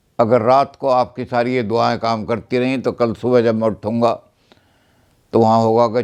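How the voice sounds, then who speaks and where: Flat, monotone intonation marks a man's medium-pitched speech. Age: 90s. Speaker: retired professor. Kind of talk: birthday message.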